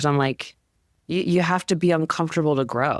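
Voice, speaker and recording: The woman's pitch varies in an ordinary way in a very clean recording with a silent background. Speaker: startup growth advisor. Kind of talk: podcast interview. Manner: animated.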